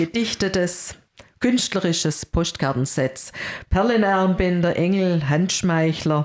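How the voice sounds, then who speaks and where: A woman speaks at a very slow pace. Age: 50s. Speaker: church worker, co-host. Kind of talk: casual religious discussion.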